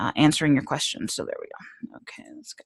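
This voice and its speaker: Against a quiet background, a woman with a very deep, low pitch talks at a very fast pace. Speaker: social media trainer. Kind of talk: online training presentation. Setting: video call with screen share.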